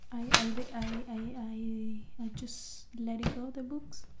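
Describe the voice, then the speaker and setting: Whispering and soft-spoken, a woman talks over noticeable background noise. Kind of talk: ASMR decluttering talk to camera. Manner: whispered, soft-spoken.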